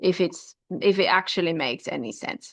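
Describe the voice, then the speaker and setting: A woman's medium-pitched voice with a non-native accent and ordinary pitch variation. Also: quiet background. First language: not English. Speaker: mathematics teacher. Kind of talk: lecture. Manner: halting, with fillers.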